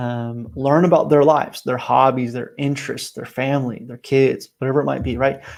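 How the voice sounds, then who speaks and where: This is a man with an unremarkable speaking voice, medium in pitch and fairly even in intonation. He keeps a moderate pace with hardly any pauses on a very clean recording with a silent background. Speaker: team coach. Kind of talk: motivational talk.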